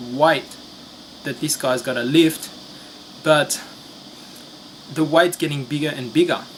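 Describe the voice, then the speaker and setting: At a very slow pace with long, frequent pauses, a man with a non-native accent speaks in a fairly high pitch and fairly even intonation over noticeable background noise. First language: not English. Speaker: finance commentator. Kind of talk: video commentary. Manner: hesitant, many fillers.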